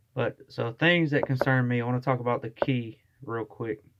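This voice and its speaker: A man with a Southern US accent speaks at a moderate pace. His pitch sits in the medium range and his intonation stays fairly even. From US South. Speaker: vlogger. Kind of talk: casual monologue. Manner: casual, with fillers.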